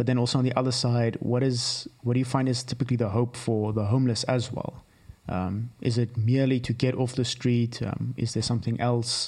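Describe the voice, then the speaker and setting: A man talks at a fairly quick pace with monotone, flat intonation. His voice is somewhat breathy. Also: medium pitch for a man. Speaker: podcast co-host. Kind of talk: interview.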